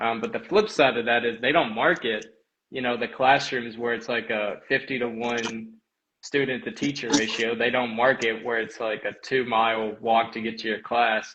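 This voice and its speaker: A man speaks at a moderate pace and a medium pitch. His intonation is monotone and flat. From Kentucky. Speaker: college runner. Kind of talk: podcast interview.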